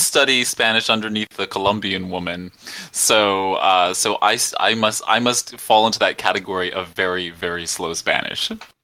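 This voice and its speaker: Bright and sharp in tone, a man with an American accent and fairly low pitch speaks at a moderate pace with ordinary pitch variation and hardly any pauses. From New York. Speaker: podcast host. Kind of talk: casual panel discussion.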